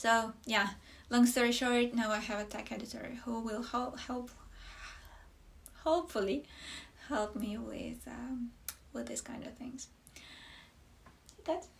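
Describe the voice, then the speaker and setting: Speaking with a non-native accent, a woman talks at a high pitch and a fairly slow pace, with ordinary pitch variation and long, frequent pauses. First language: not English. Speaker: knitwear designer. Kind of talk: casual podcast talk. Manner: halting, many fillers.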